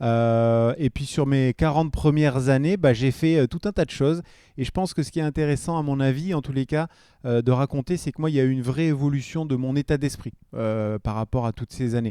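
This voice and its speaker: On a very clean recording with a silent background and a dry, close sound with no echo, a man talks at a fairly quick pace in a fairly high, dark and mellow voice with ordinary pitch variation. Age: 40s. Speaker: entrepreneur, former BMX athlete. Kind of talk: podcast interview. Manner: hesitant, many fillers.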